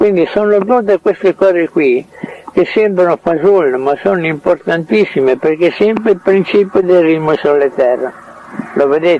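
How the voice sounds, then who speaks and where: Lively intonation from a man at high pitch amid noticeable background noise. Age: 80s+. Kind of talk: casual chat. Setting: in his home. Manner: halting.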